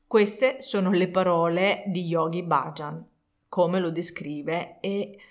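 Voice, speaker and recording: Delivery comes at a very slow pace. Pitch variation is ordinary. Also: woman, fairly low pitch for a woman. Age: 40s. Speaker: meditation teacher. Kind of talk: tutorial. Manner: halting.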